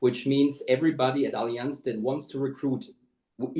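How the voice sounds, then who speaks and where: A man of medium pitch with a non-native accent at a fairly quick pace. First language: not English. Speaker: talent acquisition executive. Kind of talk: webinar interview. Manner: halting, many fillers.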